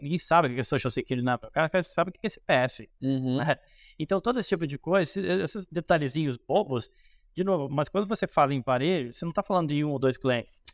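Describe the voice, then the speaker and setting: A man talks at a very fast pace with a fairly high pitch. The sound is dry and close with no echo, on a very clean recording with a silent background. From Rio Grande do Sul, Brazil (Cruz Alta). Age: 30s. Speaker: economist and investment strategist. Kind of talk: casual interview on investing.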